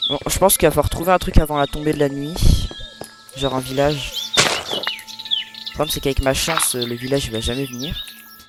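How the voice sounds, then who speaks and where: Music plays in the background as the words come at a fairly quick pace. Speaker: gaming youtuber. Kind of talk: let's play commentary. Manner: animated.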